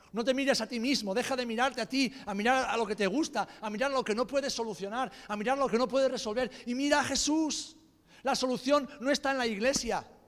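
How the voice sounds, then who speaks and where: Here a man's extremely high pitch carries fairly even intonation at a fairly quick pace. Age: 40s. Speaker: pastor. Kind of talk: sermon.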